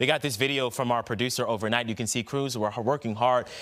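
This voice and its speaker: A man with an unremarkable speaking voice, medium pitch, on a very clean recording with a silent background. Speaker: TV news anchor. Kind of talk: TV news read.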